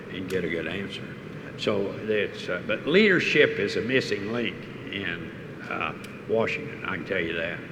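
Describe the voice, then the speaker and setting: The speaker goes at a moderate pace with ordinary pitch variation. Noticeable background noise and audible room echo fill the recording. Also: man. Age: 80s+. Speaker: oil industry executive, keynote speaker. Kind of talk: on-stage interview. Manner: halting.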